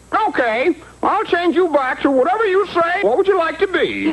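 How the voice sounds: A cartoonish character voice at an extremely high pitch, with clear background noise. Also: moderate pace.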